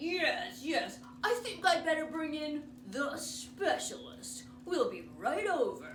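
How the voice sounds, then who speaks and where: In a put-on character voice, the speaker mumbles at a fairly slow pace over clear background noise. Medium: read story. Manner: mumbling, hesitant, repeats "yes, yes".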